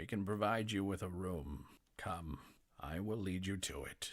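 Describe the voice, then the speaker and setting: A man speaks at a moderate pace in a put-on character voice that is raspy and pitched very deep and low. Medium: actual play. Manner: curt, clipped.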